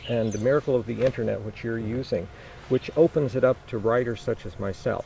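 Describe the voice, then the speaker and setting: A man talks fairly quickly at a medium pitch. He has an ordinary speaking voice, and his pitch varies in an ordinary way. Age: 60s. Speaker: mayoral candidate. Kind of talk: interview.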